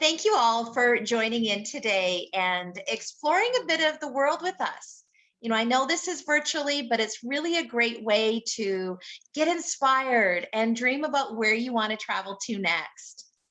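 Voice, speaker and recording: At a moderate pace, a woman speaks in a high pitch with lively intonation and an enthusiastic tone. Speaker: travel agency leisure manager. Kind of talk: webinar host introduction.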